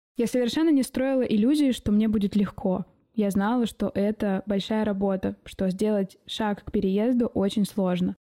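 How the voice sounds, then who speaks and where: Her voice fairly high with ordinary pitch variation and a dark, mellow tone, a woman speaks at a moderate pace in a dry, close sound with no echo. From Siberia, Omsk. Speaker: podcast host, designer and mentor. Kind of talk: personal monologue podcast.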